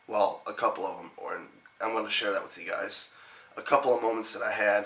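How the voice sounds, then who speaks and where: Noticeable background noise sits beneath a man whose intonation stays monotone and flat. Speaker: gaming YouTuber. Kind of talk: casual vlog. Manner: many fillers, casual.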